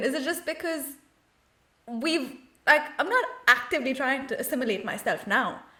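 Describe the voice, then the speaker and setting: A woman speaks at a moderate pace in a raised, projected voice. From India. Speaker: podcast co-host. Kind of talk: podcast interview.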